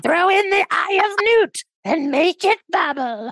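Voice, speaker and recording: In a put-on character voice, a female-sounding voice speaks theatrically at an extremely high pitch and a fairly slow pace. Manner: cackling, theatrical.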